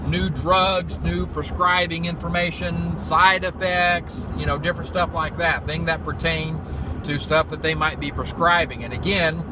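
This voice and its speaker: With an American accent, a man speaks at a fairly slow pace amid noticeable background noise and audible room echo. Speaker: field IT technician and vlogger. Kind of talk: casual vlog. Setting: in a car driving; doctor's waiting room. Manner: quiet, hushed.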